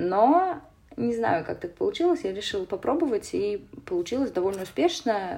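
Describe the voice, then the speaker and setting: A woman's dark, mellow voice at medium pitch, with very wide pitch swings and a moderate pace. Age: 20s. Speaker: theatre producer. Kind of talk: casual chat.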